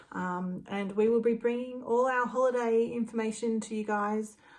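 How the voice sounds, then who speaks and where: Here is a woman in an Australian accent. Her pitch is fairly high, with ordinary pitch variation. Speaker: travel agent. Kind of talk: casual talk to camera.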